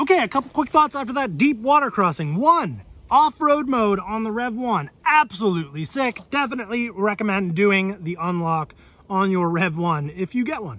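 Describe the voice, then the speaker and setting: Speaking at a moderate pace, a man with a high pitch and a bright, sharp tone swings very widely in pitch, recorded dry with no echo. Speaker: e-bike reviewer. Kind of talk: casual vlog chat. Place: forest. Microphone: phone near.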